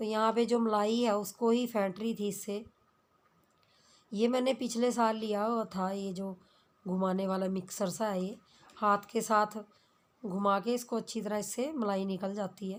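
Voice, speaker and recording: A woman with a fairly high voice talks fairly slowly in a flat monotone, on a very clean recording with a silent background. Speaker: family vlogger. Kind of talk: vlog narration.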